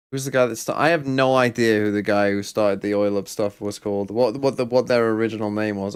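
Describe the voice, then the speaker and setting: With an English accent, a man talks at a very fast pace with hardly any pauses. His pitch is fairly low and his intonation fairly even. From England. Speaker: valorant co-streamer. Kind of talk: casual chat.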